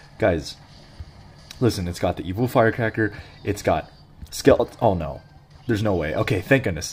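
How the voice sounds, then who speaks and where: Over music in the background, a man talks fairly quickly in a fairly low voice. His tone is animated, with ordinary pitch variation. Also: long, frequent pauses. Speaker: gaming youtuber. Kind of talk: gameplay commentary.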